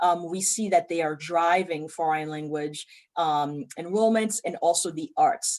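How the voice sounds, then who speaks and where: A woman speaking at a fairly slow pace. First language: French. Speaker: community college president. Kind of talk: interview. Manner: frequent fillers (um).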